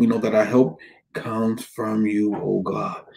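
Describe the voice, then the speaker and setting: A dark, mellow tone at a fairly slow pace. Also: man. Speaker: pastor. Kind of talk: prayer then sermon. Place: home room. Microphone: webcam.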